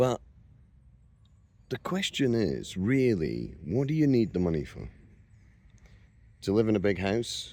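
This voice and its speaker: A man with a British accent speaks at a fairly slow pace in a dark, mellow tone, his fairly low pitch making very wide swings between long, frequent pauses. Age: 60s. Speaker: retired travel vlogger. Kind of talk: vlog monologue. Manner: hesitant with fillers.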